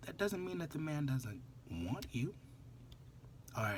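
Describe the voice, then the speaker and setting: There's a somewhat breathy quality as the man speaks, his intonation lively. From New Orleans, US South. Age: 20s. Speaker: vlogger. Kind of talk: casual monologue vlog.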